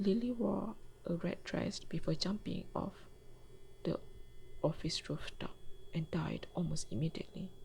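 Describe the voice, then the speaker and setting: A woman speaks at a moderate pace with a non-native accent. Noticeable background noise runs underneath. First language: not English. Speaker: storyteller. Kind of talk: storytelling.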